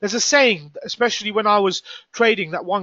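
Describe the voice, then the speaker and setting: A man speaks with a British accent, his pitch high for a man. His pace is fairly quick. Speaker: forex trader and trading coach. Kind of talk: live trading room commentary. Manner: fast; animated.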